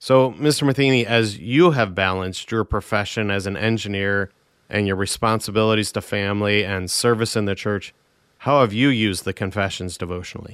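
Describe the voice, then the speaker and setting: The speaker has a plain, everyday voice. The pace is fairly quick and the pitch variation ordinary. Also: man, fairly low pitch for a man. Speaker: radio host and pastor. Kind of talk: radio discussion, panel show.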